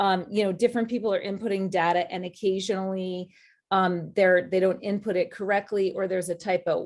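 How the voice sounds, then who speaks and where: The woman has a plain, everyday voice at medium pitch. She moves at a fairly quick pace with fairly even intonation. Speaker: college admissions advisor. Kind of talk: webinar presentation.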